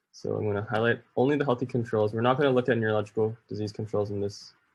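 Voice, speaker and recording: In a quiet setting, a man talks with fairly even intonation at a medium pitch. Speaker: online course instructor. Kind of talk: screen-recorded tutorial. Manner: fast; casual, self-correcting.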